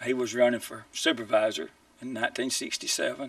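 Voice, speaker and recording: A man talks with a Mississippi accent. His pace is moderate. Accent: Mississippi Southern. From US South, Mississippi (Tippah County). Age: 60s. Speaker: political candidate. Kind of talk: campaign statement; interview. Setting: TV studio.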